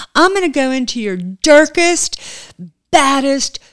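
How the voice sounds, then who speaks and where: The speech moves at a very slow pace with lively intonation. The sound is dry and close, with no echo. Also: woman. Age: 60s. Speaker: spiritual medium. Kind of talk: interview. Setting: in person at a table.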